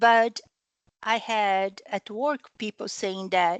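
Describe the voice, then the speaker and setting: Speaking very slowly with a non-native accent, a woman uses a medium pitch and ordinary pitch variation, her sound dry and close with no echo over a quiet background. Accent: foreign. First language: not English. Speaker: training participant. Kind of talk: group discussion comment. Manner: halting.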